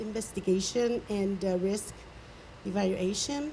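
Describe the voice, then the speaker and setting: Background noise is noticeable throughout. The woman speaks fairly slowly. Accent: non-native. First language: not English. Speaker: design engineer. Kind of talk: technical presentation. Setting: community meeting. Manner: hesitant, many fillers.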